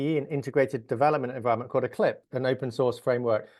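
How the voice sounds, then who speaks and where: An English accent marks this man's speech. Behind him, things are quiet. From England. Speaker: software engineer. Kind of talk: interview.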